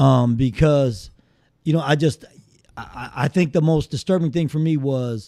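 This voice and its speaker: With ordinary pitch variation, a man speaks in a fairly high pitch with a dark, mellow tone. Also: moderate pace. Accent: slight Southern US. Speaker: guest. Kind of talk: casual chat.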